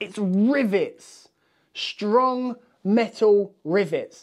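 Very slowly, a man speaks at a high pitch with lively intonation. His tone is slightly mellow.

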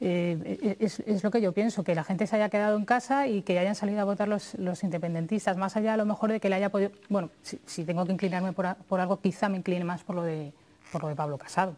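Hardly pausing, a woman speaks very fast at a medium pitch with ordinary pitch variation. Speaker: radio journalist; TV panelist. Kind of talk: TV panel discussion. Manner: hesitant, many fillers. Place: studio. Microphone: lapel.

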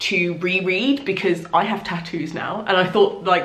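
Audible room echo surrounds the recording. A woman talks at a moderate pace. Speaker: book vlogger. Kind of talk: casual vlog chat. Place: home room.

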